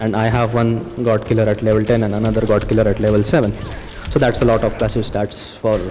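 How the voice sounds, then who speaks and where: Audible room echo surrounds a man who speaks very fast at a fairly low pitch. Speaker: gaming YouTuber. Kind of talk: gameplay commentary. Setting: recording at work. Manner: quieter than usual; casual, with filler words.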